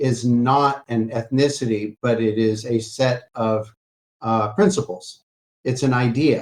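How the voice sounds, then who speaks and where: A man with a medium pitch and an American accent speaks at a fairly slow pace, his loudness very even and his pitch variation ordinary. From US South, Alabama. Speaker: lecturer, choir director. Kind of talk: lecture Q&A. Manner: hesitant, many fillers.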